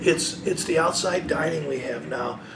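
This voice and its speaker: A man talks at a fairly slow pace. Noticeable background noise and audible room echo surround him. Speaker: city mayor. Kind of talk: interview.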